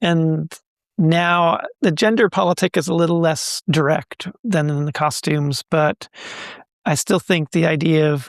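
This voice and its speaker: On a very clean recording with a silent background and a dry, close sound with no echo, a man uses an ordinary speaking voice at a fairly high pitch with fairly even intonation. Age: 60s. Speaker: textile artist. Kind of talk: interview.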